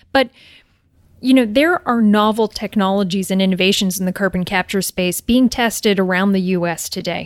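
A woman speaks at a moderate pace with a medium pitch and ordinary pitch variation, the sound dry and close with no echo. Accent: Maritimes. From New Brunswick, Canada. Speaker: engineering company general manager. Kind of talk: interview conversation. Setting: in-person recording.

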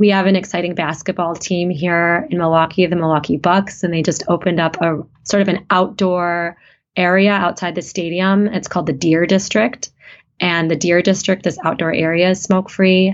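With an American accent, a woman speaks in an unremarkable speaking voice. Her pitch is fairly low and her pace moderate. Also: fairly even intonation. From US Midwest, small town in Wisconsin. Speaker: radiation oncologist. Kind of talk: interview conversation.

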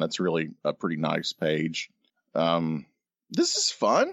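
At a very slow pace, a man speaks in a very deep, low voice. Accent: American. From North Carolina. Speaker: podcast co-host, illustrator. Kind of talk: casual chat.

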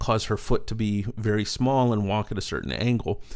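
Here a man speaks in an ordinary speaking voice with an American accent, at a medium pitch. His pace is moderate, and the recording is very clean with a silent background. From East Texas. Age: 40s. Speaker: storyteller and speaker. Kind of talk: casual interview.

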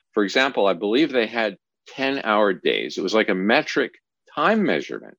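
A man with a Canadian accent, medium pitch, vocal fry and lively intonation, at a moderate pace with very even loudness, on a very clean recording with a silent background. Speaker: podcast host. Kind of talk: interview.

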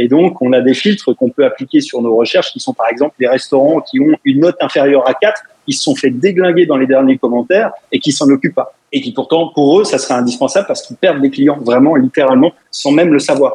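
A man with a plain, everyday voice talks at a fairly quick pace, his pitch fairly high with ordinary variation. The sound is dry and close, with no echo. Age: 40s. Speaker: web entrepreneur. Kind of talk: radio interview.

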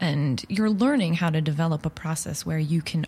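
A woman with an American accent speaks at a very deep, low pitch. She is somewhat breathy, at a moderate pace. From Long Island, New York. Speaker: improv performer. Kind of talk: casual interview chat.

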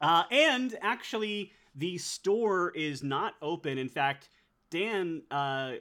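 A man is speaking. His pitch swings very widely. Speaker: game master running a tabletop roleplaying game. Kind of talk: tabletop roleplaying game session, casual and improvised. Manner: hesitant, filler-heavy, narrating.

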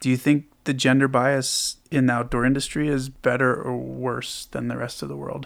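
A man at a moderate pace with hardly any pauses. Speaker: podcast host. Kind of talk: podcast interview.

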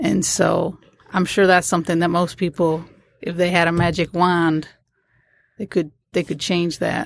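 On a very clean recording with a silent background, a woman with vocal fry and a fairly low pitch speaks at a moderate pace with fairly even intonation and long, frequent pauses. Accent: American. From Port Huron, Michigan. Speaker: school assistant principal. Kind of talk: casual interview. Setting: studio.

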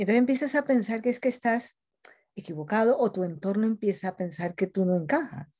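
A woman's dark, mellow voice sits fairly high and sounds somewhat breathy. She talks at a fairly quick pace with lively intonation. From Colombia. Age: 50s. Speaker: journalist and coach. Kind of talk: interview.

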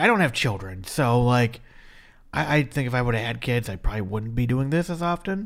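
An unremarkable speaking voice from a man with lively intonation at a moderate pace, on a very clean recording with a silent background. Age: 30s. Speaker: anime podcast co-host. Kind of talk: casual chat.

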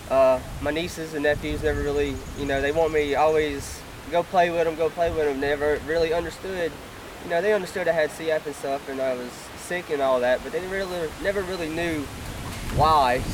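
With an American accent, a man talks at a fairly high pitch over noticeable background noise. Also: fairly even intonation. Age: 20s. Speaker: lung transplant recipient, athlete. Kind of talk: testimony.

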